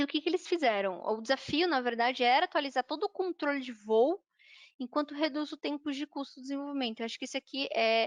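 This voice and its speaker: At a very fast pace, a woman talks with a high pitch and ordinary pitch variation, her voice dry and close with no echo against a quiet background. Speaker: software trainer. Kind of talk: online workshop lecture.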